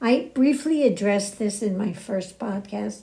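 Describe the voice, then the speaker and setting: Her voice is somewhat breathy with a dark, mellow tone, sitting fairly high in pitch for a woman as she talks at a moderate pace. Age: 90s. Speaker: podcast host. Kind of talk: spiritual talk.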